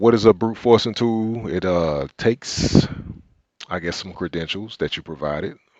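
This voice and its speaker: This man talks at a moderate pace in a strong Southern US accent, his pitch fairly low. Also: ordinary pitch variation, big swings in loudness. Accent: deep Southern US. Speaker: cybersecurity instructor. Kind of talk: live tutorial.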